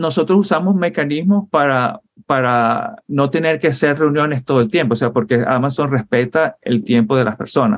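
A man speaks at a moderate pace with lively intonation and a fairly high pitch. He has an unremarkable speaking voice. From Venezuela (Puerto La Cruz, Barcelona). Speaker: software engineer and Marine veteran. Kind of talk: interview conversation.

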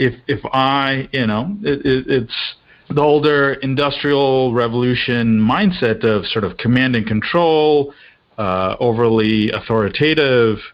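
A man with an American accent speaks at a fairly slow pace in a normal speaking voice. His pitch is medium with ordinary variation, and his loudness stays very even. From mixed: India, Australia, England, US. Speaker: leadership and team performance consultant. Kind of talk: podcast interview.

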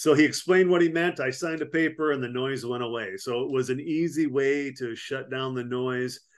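A man talks with hardly any pauses in an ordinary speaking voice. His pitch sits in the medium range with ordinary variation. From Wisconsin. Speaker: army veteran and business consultant. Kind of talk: interview.

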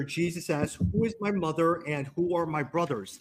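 In a normal speaking voice, a man with an American accent talks at a fairly high pitch with ordinary pitch variation. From US, Chicago. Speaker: podcast host. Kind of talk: casual interview chat. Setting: video call.

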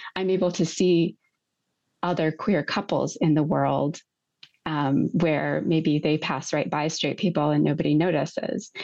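With an American accent, a woman speaks at a fairly slow pace in a very deep, low, dark and mellow voice with vocal fry, very even loudness and a quiet background. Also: ordinary pitch variation. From United States. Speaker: museum exhibit designer. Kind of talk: interview. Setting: studio.

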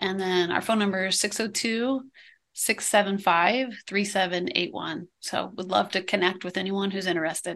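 At a very slow pace and with fairly even intonation, the speaker talks with an American accent against a quiet background. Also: woman, medium pitch for a woman. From Iowa, US Midwest. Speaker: ministry founder and coach. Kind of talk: interview.

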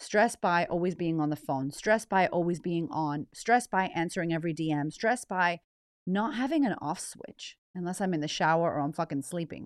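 A woman speaks in an American accent at a moderate pace. Her tone is animated. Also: fairly low pitch for a woman, ordinary pitch variation, dry, close sound with no echo, quiet background. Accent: American with slight Australian twang. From United States. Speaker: life coach and podcast host. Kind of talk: casual monologue.

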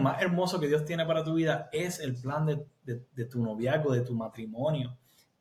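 This man has a normal speaking voice, fairly high in pitch, talking at a moderate pace with lively intonation and hardly any pauses. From Puerto Rico. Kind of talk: interview testimony.

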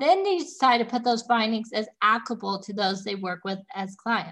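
With lively intonation, a normal speaking voice moves at a moderate pace. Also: woman. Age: 30s. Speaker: holistic nutritionist podcast host. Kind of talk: solo educational monologue.

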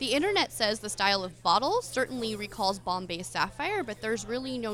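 A woman with an American accent speaks at a fairly quick pace and a medium pitch, with ordinary pitch variation. Noticeable background noise sits behind her. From Philadelphia. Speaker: podcast co-host. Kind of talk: live podcast recording with audience, casual banter.

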